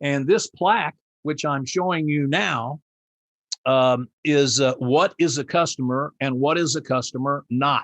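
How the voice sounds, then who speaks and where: Speaking fairly slowly in a Midwestern American accent, a man has a fairly high pitch and ordinary pitch variation, with a dry, close sound and no echo. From US Midwest, Indianapolis. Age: 70s. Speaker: customer service trainer and keynote speaker. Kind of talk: presentation. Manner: halting.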